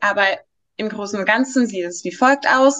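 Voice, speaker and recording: With ordinary pitch variation, a woman talks in a fairly high pitch. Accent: Greek. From Greece. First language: Greek (speaking German). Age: 20s. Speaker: law trainee. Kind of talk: interview. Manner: hesitant, many fillers.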